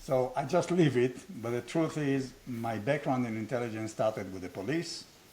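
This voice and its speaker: A man's somewhat breathy voice at a medium pitch. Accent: Israeli. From Israel. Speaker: business school founder, former strategy professor. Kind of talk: casual conversation.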